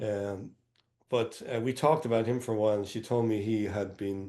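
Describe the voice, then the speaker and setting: Fairly low in pitch, a man speaks in a dark, mellow tone with fairly even intonation. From Ireland, Dublin. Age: 60s. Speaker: jazz guitarist. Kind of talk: interview. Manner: halting.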